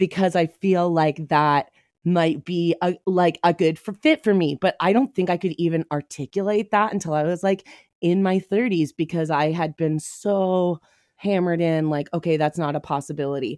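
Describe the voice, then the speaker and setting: At a moderate pace, a woman in an ordinary speaking voice speaks at a fairly low pitch with ordinary pitch variation, and the sound is dry and close with no echo. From Ontario, Canada (Whitby, Toronto suburb). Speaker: comedian. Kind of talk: casual chat. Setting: video call.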